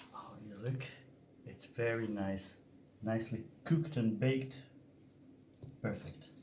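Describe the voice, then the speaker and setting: A man with a medium pitch speaks fairly slowly in a dark, mellow, somewhat breathy tone, his loudness swinging widely. Long, frequent pauses break up the speech, and audible room echo surrounds it. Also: ordinary pitch variation. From Serbia, Banat region. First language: Serbian. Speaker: cooking vlogger. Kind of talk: cooking tutorial. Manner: animated.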